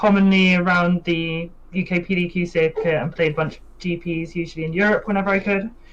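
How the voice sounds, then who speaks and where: In a British accent, the words come at a moderate pace. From UK. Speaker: competitive card game player. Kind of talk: pre-recorded interview.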